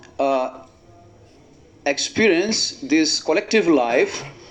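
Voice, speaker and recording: This man has a non-native accent and ordinary pitch variation. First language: not English. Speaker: monk giving a religious talk. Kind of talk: religious discourse to an assembly. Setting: assembly of devotees. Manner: halting with frequent fillers.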